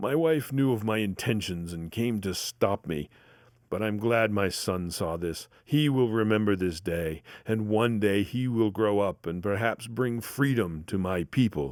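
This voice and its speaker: Putting on a character voice, a man speaks at a fairly low pitch and a moderate pace with ordinary pitch variation. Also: very clean recording, silent background. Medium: read story. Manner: fiery, defiant.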